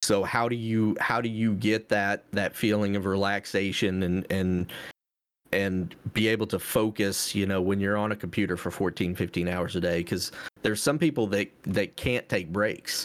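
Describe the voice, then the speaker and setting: In a very clean recording with a silent background, a man with a normal speaking voice and fairly low pitch talks at a moderate pace, his intonation fairly even and his loudness very even. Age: 40s. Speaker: gamer and streamer, gaming glasses entrepreneur. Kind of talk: casual chat.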